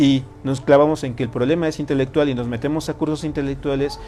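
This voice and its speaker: Over noticeable background noise and audible room echo, a man speaks at a fairly quick pace. His pitch is fairly high and his intonation monotone and flat. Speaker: tarot and personal growth teacher. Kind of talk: lecture to a live group. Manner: fast.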